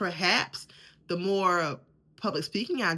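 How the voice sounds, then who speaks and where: The recording is very clean, with a silent background. A woman speaks at a fairly slow pace in a bright, sharp tone. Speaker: podcast host. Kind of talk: faith-based motivational talk. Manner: repeats words, halting restarts.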